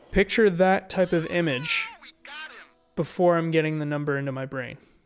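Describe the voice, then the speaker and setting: With music in the background, a man speaks at a moderate pace in a fairly high voice with ordinary pitch variation. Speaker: gamer streamer. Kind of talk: casual chat. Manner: halting.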